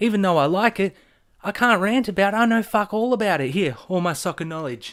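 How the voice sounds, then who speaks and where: Animated and lively in intonation, a man with an Australian accent speaks at a high pitch. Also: very clean recording, silent background. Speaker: vlogger. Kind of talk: casual rant.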